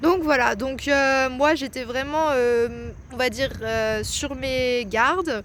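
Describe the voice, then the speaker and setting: The woman talks very slowly. Her voice sits high, and its pitch varies an ordinary amount. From France, near Lyon. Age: 20s. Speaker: vlogger. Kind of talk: casual talk to camera.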